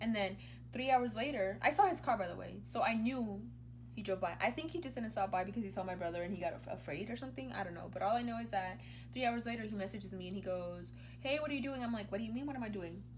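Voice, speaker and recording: Amid music in the background and audible room echo, a woman speaks at a very fast pace. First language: Spanish. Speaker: YouTuber. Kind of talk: casual chat. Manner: animated.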